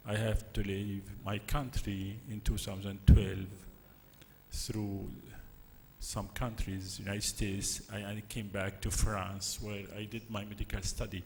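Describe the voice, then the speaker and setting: The speech is fairly slow and somewhat breathy, with monotone, flat intonation and audible room echo. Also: man, fairly low pitch for a man. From Syria. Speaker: physician, conference speaker. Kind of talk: conference presentation.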